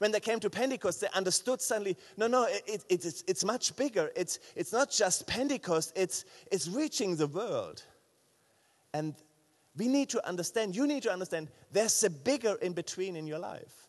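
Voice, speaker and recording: A high-pitched man with a German accent, lively intonation and a moderate pace. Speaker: pastor. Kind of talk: sermon. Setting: church. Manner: halting.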